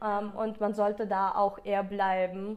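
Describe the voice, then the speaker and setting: The recording is very clean, with a silent background. A woman with a Russian accent speaks at a fairly slow pace in a fairly high pitch. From Ukraine. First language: Russian (speaking German). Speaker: school graduate, student politician. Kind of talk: interview.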